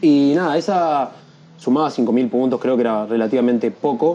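A man with a Uruguayan accent talks at a medium pitch with lively intonation over noticeable background noise. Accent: Rioplatense Spanish (Uruguayan). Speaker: freestyle rapper. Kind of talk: casual interview.

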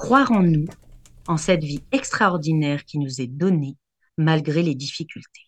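This woman's pitch is very deep and low. Her delivery is somewhat breathy. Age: 40s. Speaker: vocal art therapist. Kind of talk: radio chronicle and advice; reading aloud.

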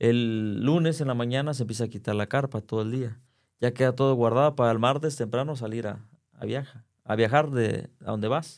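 An ordinary speaking voice from a man, medium in pitch, at a fairly quick pace with fairly even intonation, on a very clean recording with a silent background. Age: 40s. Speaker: circus performer. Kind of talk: interview.

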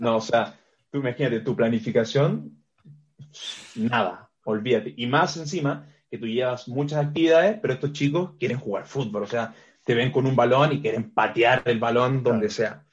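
A man's somewhat breathy voice at medium pitch and moderate pace. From Chile. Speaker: strength and conditioning coach. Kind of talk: interview.

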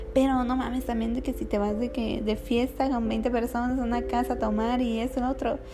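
Over noticeable background noise and audible room echo, a woman with a high pitch talks at a fairly quick pace in a monotone, flat delivery, with hardly any pauses. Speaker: podcast host. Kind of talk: casual solo monologue.

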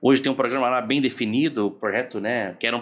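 The speech moves at a fairly quick pace with ordinary pitch variation, recorded very cleanly over a silent background. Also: man. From Porto Alegre, southern Brazil. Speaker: project manager and consultant. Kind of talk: casual chat. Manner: halting, repeats words.

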